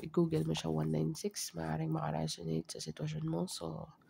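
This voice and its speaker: A man is speaking. His pace is fairly quick. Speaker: tarot reader. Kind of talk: tarot reading. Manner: soft-spoken.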